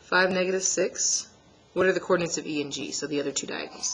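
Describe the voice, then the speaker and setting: A woman talks at a very fast pace with ordinary pitch variation and a fairly low pitch. There is noticeable background noise. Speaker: math teacher. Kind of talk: tutorial.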